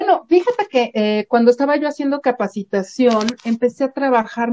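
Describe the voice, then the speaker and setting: A woman with an ordinary speaking voice, lively intonation and a moderate pace. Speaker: psychologist and university professor. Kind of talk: interview.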